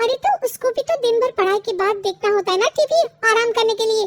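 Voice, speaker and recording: In a cartoonish character voice, a woman talks at an extremely high pitch and a fairly quick pace. Her pitch varies in an ordinary way, her loudness stays very even, and the sound is dry and close with no echo. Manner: firm, tart.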